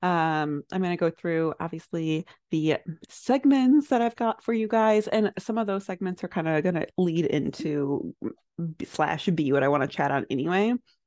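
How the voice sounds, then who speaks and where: A woman mumbling at a moderate pace, her pitch swinging very widely, in a dry, close recording with no echo. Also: quiet background. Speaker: podcast host. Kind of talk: casual solo chat. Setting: home recording, squeaky chair.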